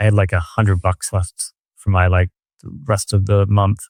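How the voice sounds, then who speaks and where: An ordinary speaking voice from a man with an American accent, fairly low in pitch, with fairly even intonation at a moderate pace, in a dry, close sound with no echo. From Arizona (Tucson), US Southwest. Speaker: art dealer. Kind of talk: casual interview storytelling. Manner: casual, filler-heavy.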